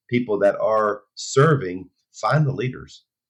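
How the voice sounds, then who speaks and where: This man has an ordinary speaking voice. His pitch sits at a medium level and varies in an ordinary way. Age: 60s. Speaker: pastor. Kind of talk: interview.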